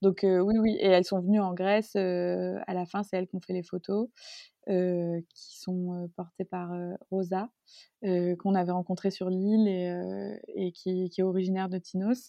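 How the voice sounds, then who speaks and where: A woman's medium-pitched voice, fairly slow, with monotone, flat intonation. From Marseille, southern France. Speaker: fashion designer and brand co-founder. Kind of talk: interview conversation. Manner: hesitant, many fillers.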